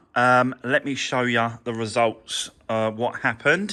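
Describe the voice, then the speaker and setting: In a British accent, a man speaks at a very slow pace. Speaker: car mechanic and vlogger. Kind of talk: workshop vlog. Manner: casual, hesitant with fillers; mumbling a little.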